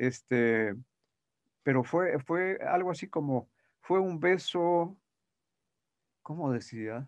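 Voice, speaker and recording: A man speaks at a very slow pace, with ordinary pitch variation. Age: 80s+. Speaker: voice actor. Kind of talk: interview. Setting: remote call. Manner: halting.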